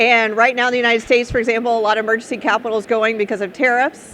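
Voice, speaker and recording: A woman with an American accent and a fairly high pitch. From Texas. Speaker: startup founder and speaker. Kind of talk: conference talk. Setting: stage with audience. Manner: casual, conversational.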